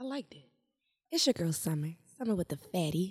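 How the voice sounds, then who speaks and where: A woman talks in a medium pitch. Her delivery has a somewhat breathy quality. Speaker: podcast co-host. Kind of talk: casual chat.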